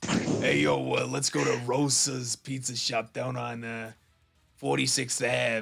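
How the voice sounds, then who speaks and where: A put-on character voice from a man, raspy and medium in pitch, at a fairly slow pace with music in the background. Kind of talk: casual street talk. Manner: exaggerated.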